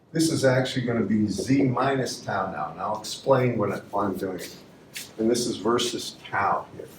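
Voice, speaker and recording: Over noticeable background noise and audible room echo, a man talks at a medium pitch and a moderate pace, with ordinary pitch variation and big swings in loudness. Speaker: university lecturer. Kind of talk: lecture.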